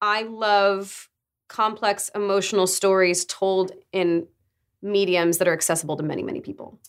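An ordinary speaking voice with fairly even intonation and a moderate pace, in a very clean recording with a silent background. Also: woman, medium pitch for a woman. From Arizona, US. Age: 20s. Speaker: voice actor and writer. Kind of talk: casual interview.

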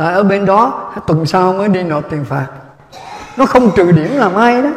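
A man with a high pitch and an animated tone speaks at a moderate pace with lively intonation, over noticeable background noise. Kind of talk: humorous storytelling to audience. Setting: live audience.

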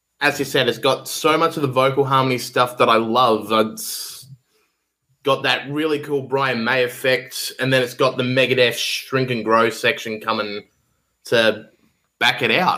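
Speaking in an Australian accent, a man uses a medium pitch and a bright, sharp tone. He keeps a fairly slow pace and fairly even intonation. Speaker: guest co-host, music fan. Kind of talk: casual chat.

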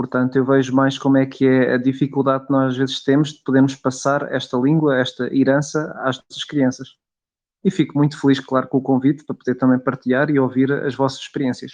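A man's medium-pitched voice at a fairly quick pace, monotone, flat intonation, and big swings in loudness. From Portugal, Coimbra. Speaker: podcast co-host. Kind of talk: casual discussion.

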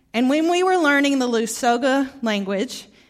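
A woman at a fairly slow pace with a slight Southern US accent, in a very clean recording with a silent background. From Arkansas, US South. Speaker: guest preacher. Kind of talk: sermon. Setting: church.

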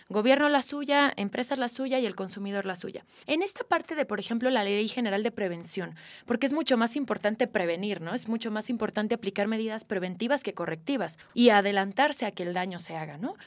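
With an unremarkable speaking voice, a woman talks at a fairly quick pace with a fairly high pitch and lively intonation. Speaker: podcast host. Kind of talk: interview.

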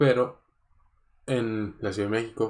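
Over a silent background in a very clean recording, a man talks with fairly even intonation. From Mexico, mixed north, south and center. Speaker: podcast host. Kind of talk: casual solo monologue.

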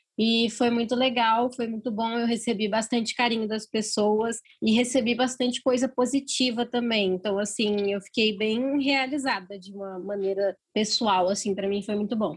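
A woman speaks at a moderate pace, with hardly any pauses. Her voice is somewhat breathy and fairly high, with fairly even intonation. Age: 20s. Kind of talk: casual interview.

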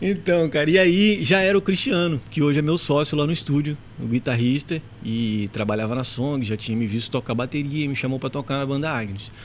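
Lively intonation from a man at a fairly high pitch and a fairly quick pace, over noticeable background noise. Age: 40s. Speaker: musician and studio owner. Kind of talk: casual chat.

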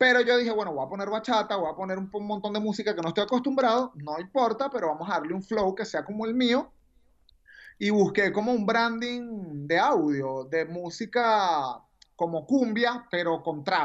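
A woman's medium-pitched voice in a strong Venezuelan accent, with lively intonation. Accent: strong Venezuelan, deliberately emphasized. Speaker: radio announcer. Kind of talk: casual chat.

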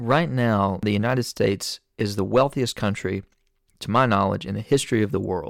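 In an Appalachian accent, a man speaks at a fairly low pitch with vocal fry and ordinary pitch variation. His pace is moderate, and the recording is very clean with a silent background. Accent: Appalachian Southern US. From Eastern Kentucky, Appalachia. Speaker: podcast host. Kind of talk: casual interview and monologue.

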